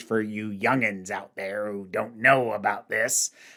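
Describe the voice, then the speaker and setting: A man uses a put-on character voice with a fairly low pitch, speaking fairly slowly in a flat monotone. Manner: gruff, folksy.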